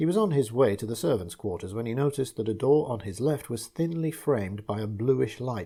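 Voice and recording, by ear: Natural reading aloud, intonation lively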